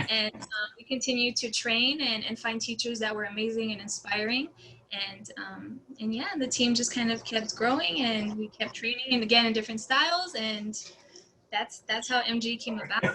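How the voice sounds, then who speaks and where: Noticeable background noise fills the recording. The woman talks at a moderate pace. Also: fairly high pitch for a woman, fairly even intonation. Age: 20s. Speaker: dancer and college student. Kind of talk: casual interview.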